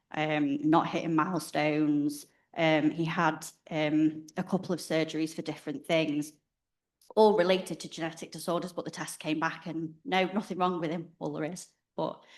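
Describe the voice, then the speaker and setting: A woman speaks with a northwest England accent in a very deep, low pitch. Her intonation is monotone and flat. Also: moderate pace. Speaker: parent of child with rare disease. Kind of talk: personal introduction at a conference.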